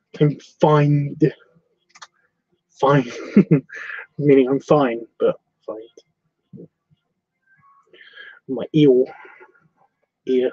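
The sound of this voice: Using a put-on character voice, a man speaks very slowly in a fairly high, nasal pitch, leaving long, frequent pauses.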